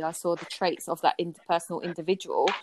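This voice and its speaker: Recorded with a dry, close sound with no echo, a woman speaks with a South London accent at a fairly quick pace. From Southeast London (Peckham). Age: 30s. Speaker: podcast guest, friend of host. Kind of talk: casual chat.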